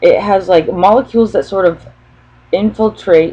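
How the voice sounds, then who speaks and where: A woman speaks with very wide swings in pitch. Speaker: spiritual channeler vlogger. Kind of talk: free-form spiritual monologue. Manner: hesitant, many pauses; stutters.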